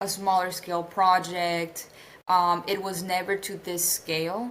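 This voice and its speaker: At a fairly slow pace, a woman with a medium pitch speaks in a monotone with flat intonation. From Colombia. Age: 20s. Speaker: narrative designer. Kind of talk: interview. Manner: many fillers, hesitant.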